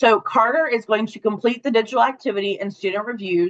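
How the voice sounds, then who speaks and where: Her pitch sits fairly high and moves with ordinary variation. This woman has an unremarkable speaking voice and a moderate pace. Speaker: webinar presenter for an education company. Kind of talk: webinar presentation.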